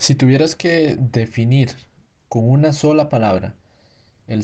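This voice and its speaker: A man speaks at a very slow pace in a somewhat breathy voice, his dark, mellow tone sitting at a medium pitch with ordinary pitch variation. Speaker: student podcast host. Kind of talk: interview.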